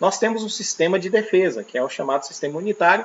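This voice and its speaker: A man at a fairly quick pace. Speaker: teacher. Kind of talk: lecture. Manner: fast.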